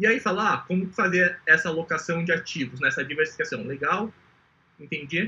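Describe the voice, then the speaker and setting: Talking at a fairly quick pace, a man has a high pitch and ordinary pitch variation. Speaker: entrepreneur pitching an investment startup. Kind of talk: startup pitch presentation. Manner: fast; clear.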